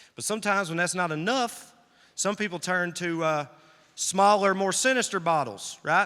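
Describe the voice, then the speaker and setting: Bright and sharp in tone, a man with a high pitch speaks at a moderate pace with ordinary pitch variation. The recording is very clean, with a silent background. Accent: Southern. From US South, rural Tennessee. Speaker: comedian. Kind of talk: stand-up. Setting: stage with audience. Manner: animated.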